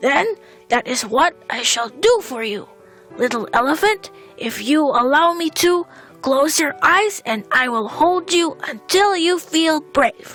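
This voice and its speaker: Fairly slow put-on character voice from a woman, with clear music in the background. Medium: read story. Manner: barks between words.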